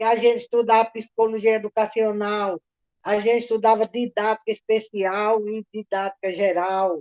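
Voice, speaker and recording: The voice stays flat and monotone at a moderate pace. The sound is dry and close, with no echo. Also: woman, fairly high pitch for a woman. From Brazil, Natal (Rio Grande do Norte). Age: 70s. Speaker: retired history teacher. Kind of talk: oral history interview.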